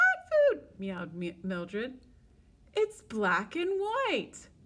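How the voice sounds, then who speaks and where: A woman speaks in a put-on character voice with a high pitch. Her pace is very slow. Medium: read story.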